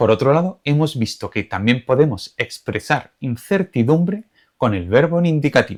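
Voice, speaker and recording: With an Andalusian accent, the speaker moves at a moderate pace through very wide pitch swings, in a dry, close sound with no echo on a very clean recording with a silent background. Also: man. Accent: Andalusian, drops final s. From Andalusia, Spain. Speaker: Spanish teacher. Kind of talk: tutorial.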